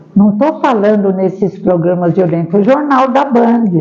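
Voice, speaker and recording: A woman speaks at a fairly slow pace with lively intonation over noticeable background noise. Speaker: spiritist seminar speaker. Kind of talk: seminar talk with audience discussion.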